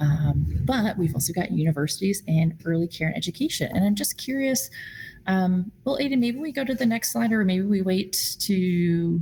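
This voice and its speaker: A somewhat breathy woman speaks at a medium pitch with very wide pitch swings. Her tone is dark and mellow. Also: moderate pace. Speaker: food policy advocate at a nonprofit. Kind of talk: virtual meeting presentation. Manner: many fillers and false starts.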